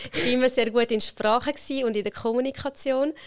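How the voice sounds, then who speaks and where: The recording is very clean, with a silent background. A woman speaks at a fairly quick pace with ordinary pitch variation. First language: Italian (speaking German). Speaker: HR consultant and company founder. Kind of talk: interview conversation.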